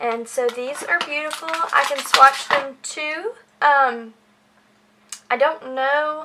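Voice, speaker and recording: A woman with a high pitch uses a raised, projected voice at a very slow pace, with ordinary pitch variation and long, frequent pauses over noticeable background noise. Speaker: beauty vlogger. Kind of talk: product haul review. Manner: animated.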